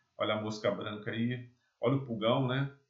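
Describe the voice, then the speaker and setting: A somewhat breathy male voice at a moderate pace. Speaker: agronomy lecturer. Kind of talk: lecture.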